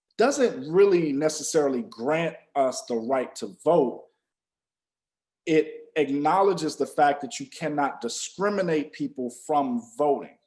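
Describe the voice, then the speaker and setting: A man with an American accent speaks in an unremarkable speaking voice, fairly high pitched and fairly slow, with lively intonation. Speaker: podcast co-host. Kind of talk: podcast discussion.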